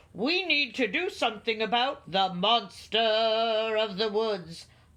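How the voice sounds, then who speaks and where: A female-sounding, put-on character voice, fairly high in pitch, at a fairly slow pace against a quiet background. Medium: read story.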